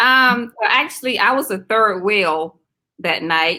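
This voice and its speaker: The voice has a bright, sharp tone, lively intonation and a slight Southern US accent. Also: woman. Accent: slight Southern drawl. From South Carolina. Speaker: teacher. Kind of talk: casual interview chat.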